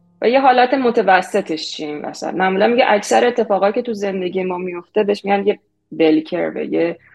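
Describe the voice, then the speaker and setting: A woman's plain, everyday voice at medium pitch, with lively intonation and a fairly quick pace. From Iran. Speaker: product manager. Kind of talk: interview.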